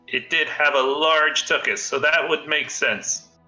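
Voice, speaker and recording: A man's put-on character voice at a fairly high pitch, monotone and flat, very even in loudness, at a moderate pace over faint music in the background. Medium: actual play.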